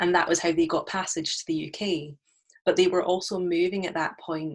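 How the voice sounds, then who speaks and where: A woman speaks at a moderate pace in a fairly low pitch. The recording is very clean and the background silent. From UK. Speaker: musician. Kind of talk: panel discussion. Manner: halting.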